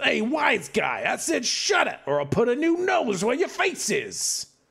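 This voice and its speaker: A put-on character voice at a moderate pace. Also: man, extremely high pitch for a man. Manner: threatening.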